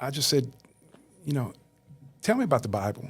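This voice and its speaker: A man of medium pitch with an American accent. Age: 60s. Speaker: churchgoer interviewed on faith podcast. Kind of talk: interview testimony.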